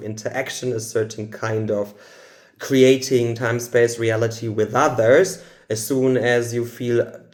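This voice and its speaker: A man talks at a fairly slow pace with a German accent. His pitch is medium. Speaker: spiritual channeler. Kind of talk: channeled spiritual talk. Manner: halting.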